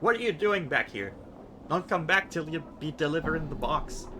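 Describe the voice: A man's put-on character voice, shrill and fairly high in pitch, at a moderate pace over clear background noise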